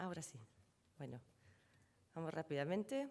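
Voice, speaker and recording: A woman with a German accent speaks in a very deep, low pitch. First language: German (speaking Spanish). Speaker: trademark law panelist. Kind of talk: conference presentation. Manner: hesitant, with filler sounds.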